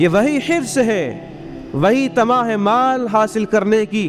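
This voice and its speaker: A man speaks over noticeable background noise. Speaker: Islamic scholar (mufti) giving a sermon. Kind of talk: Friday sermon (juma bayan).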